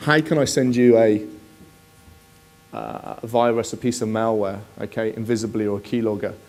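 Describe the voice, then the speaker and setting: A man with a Bristol accent talks at a moderate pace and medium pitch over noticeable background noise. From southwest England, Bristol. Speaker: security specialist. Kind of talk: conference presentation. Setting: conference stage with audience. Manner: conversational, many fillers.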